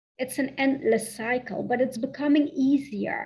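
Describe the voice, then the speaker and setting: Speaking fairly slowly, this woman has a Dutch accent. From southern Netherlands. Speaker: spiritual coach. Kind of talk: channeled guided meditation. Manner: halting.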